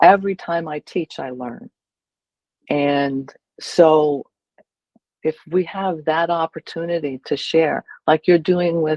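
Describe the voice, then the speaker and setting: Very slowly, a woman speaks at a fairly low pitch with fairly even intonation. Long pauses come often. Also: dry, close sound with no echo. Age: 70s. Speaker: educator on aging at home. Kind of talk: interview. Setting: video call.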